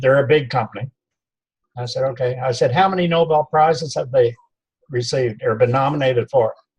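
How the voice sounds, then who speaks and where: At a moderate pace, a man talks in a fairly high, somewhat breathy voice. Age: 70s. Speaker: network marketing distributor. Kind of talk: casual interview.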